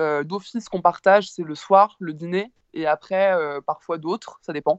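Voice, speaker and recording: A woman's voice at a medium pitch rises and falls in an ordinary way. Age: 20s. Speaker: creative student. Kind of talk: casual chat. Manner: halting.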